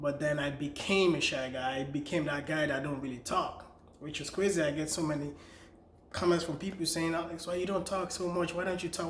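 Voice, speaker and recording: A man's fairly high voice with a Nigerian accent and fairly even intonation, amid audible room echo and noticeable background noise. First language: Nigerian language, not English. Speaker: vlogger and author. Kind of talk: personal story vlog. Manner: casual, conversational.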